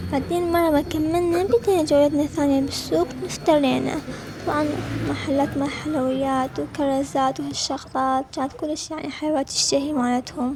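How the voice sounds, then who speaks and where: A woman with an Iraqi accent, high in pitch, at a moderate pace over noticeable background noise. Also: fairly even intonation. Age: 20s. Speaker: travel vlogger. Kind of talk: vlog narration.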